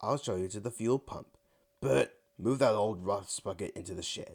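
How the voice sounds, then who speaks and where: Putting on a character voice, a man cackles in a gruff, fairly low voice at a moderate pace. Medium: read story. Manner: gruff, cackling.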